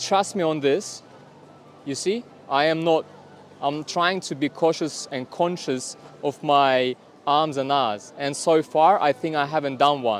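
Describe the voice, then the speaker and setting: Music plays in the background as a man with a Russian accent speaks at a fairly slow pace. His pitch is fairly high, with ordinary variation. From Kazakhstan, Almaty. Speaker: vlogger. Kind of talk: vlog to camera. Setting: outdoors in public. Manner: deliberate pauses, avoiding filler words.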